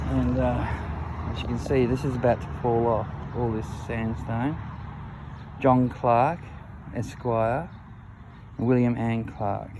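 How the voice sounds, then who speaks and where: A man with an Australian accent speaks at a fairly slow pace in a medium pitch, his intonation fairly even, with long, frequent pauses, noticeable background noise and audible room echo. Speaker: history video maker touring a cemetery. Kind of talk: walking tour commentary. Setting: outdoors in a cemetery.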